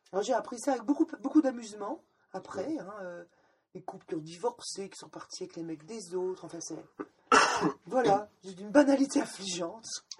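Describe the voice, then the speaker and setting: Her pitch sits in the middle range for a woman but swings very widely. She talks at a moderate pace with long, frequent pauses. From Lorraine, France. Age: 50s. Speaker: former sect member. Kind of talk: testimony. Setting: at her home. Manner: hesitant, repeats words.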